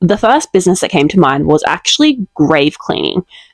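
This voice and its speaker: Speaking at a fairly quick pace, a woman with an Australian accent comes through in a dry, close sound with no echo. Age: 20s. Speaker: vlogger and small business owner. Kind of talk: casual vlog talk to camera.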